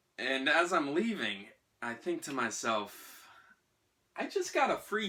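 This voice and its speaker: Male speaker in an American accent. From US Northeast, Salem, Massachusetts. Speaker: actor. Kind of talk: storytelling performance. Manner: animated.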